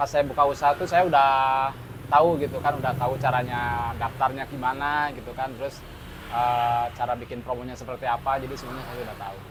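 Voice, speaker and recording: Speaking at a fairly quick pace, a man keeps a medium pitch with monotone, flat intonation. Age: 40s. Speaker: fried rice stall owner. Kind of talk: interview. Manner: hesitant, many fillers.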